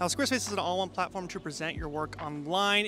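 Clear music plays in the background behind a man with a high voice. The sound is dry with no echo. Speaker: filmmaker youtuber. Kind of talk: casual vlog chat with sponsor read. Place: garden. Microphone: handheld.

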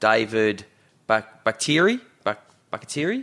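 Here a man talks with an Australian accent. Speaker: sports podcast host. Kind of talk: casual chat.

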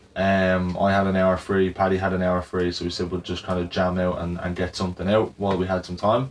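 Over light background noise, a man with a Dublin accent talks at a fairly quick pace with hardly any pauses, his very deep, low voice monotone and flat. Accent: Irish (Dublin). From Ireland. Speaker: barbershop business owner. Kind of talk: team meeting and vlog narration. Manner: casual, filler-heavy. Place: office.

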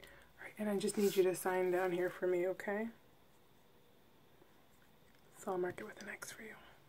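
Soft-spoken and monotone, a woman with a dark, mellow tone talks over light background noise. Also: moderate pace. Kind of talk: role-play exam talk, soft and caring. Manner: soft, hushed ASMR nurse voice. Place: home room. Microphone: phone near.

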